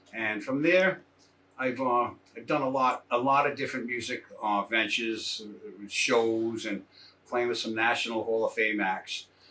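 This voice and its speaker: A man talks at a fairly slow pace with ordinary pitch variation. Noticeable background noise runs beneath his voice. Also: medium pitch for a man. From Rhode Island. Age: 60s. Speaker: drummer. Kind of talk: interview monologue. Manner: casual, with fillers and repeats.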